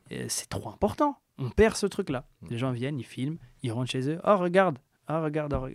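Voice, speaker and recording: Using a plain, everyday voice, a man speaks at a fairly quick pace with a fairly high pitch and lively intonation, in a dry, close sound with no echo. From France, Metz. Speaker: music producer. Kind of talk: casual interview chat.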